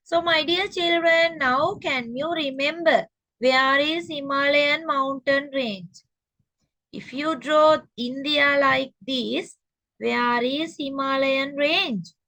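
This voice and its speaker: A woman's high-pitched, raised, projected voice in a Sri Lankan accent, bright and sharp in tone, at a very slow pace with ordinary pitch variation. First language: Sinhala. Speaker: teacher. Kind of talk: lecture.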